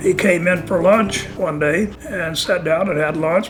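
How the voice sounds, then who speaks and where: Recorded with noticeable background noise and audible room echo, a man talks with an American accent. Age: 70s. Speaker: classic car owner. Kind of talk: personal storytelling interview. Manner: halting.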